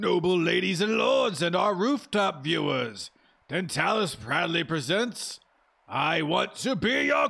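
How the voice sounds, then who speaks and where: Putting on a raspy, high-pitched character voice, a man talks fairly slowly with very wide pitch swings and very even loudness. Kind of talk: grand stage announcement.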